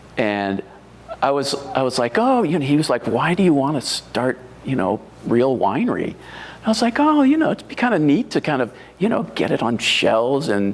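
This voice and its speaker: Over noticeable background noise, a man with an American accent speaks at a moderate pace and fairly high pitch, his pitch swinging very widely while his loudness stays very even. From US Northeast. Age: 60s. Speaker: wine writer and home winemaker. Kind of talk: oral history interview. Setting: library. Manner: halting, many fillers.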